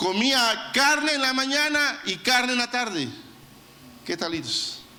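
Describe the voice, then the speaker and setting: Over noticeable background noise and audible room echo, a man uses a raised, projected voice at an extremely high pitch. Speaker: pastor. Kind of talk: sermon.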